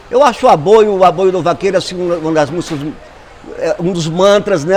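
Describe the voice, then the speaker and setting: Against noticeable background noise, a man with a high-pitched voice and ordinary pitch variation talks at a fairly quick pace. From Brazilian Northeast, rural Tauá (Ceará) with Paraíba family. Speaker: musician and composer. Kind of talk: documentary interview. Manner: hesitant, with filler words.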